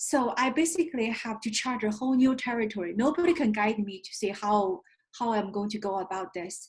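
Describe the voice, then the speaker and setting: A woman with a Chinese accent talks at a fairly high pitch and moderate pace. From China. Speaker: investment firm founder. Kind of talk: interview.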